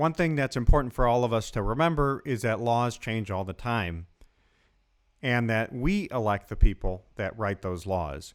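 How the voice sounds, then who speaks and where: A man's unremarkable speaking voice, medium in pitch, with lively intonation at a moderate pace, on a very clean recording with a silent background. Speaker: lawyer, podcast host. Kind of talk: podcast intro.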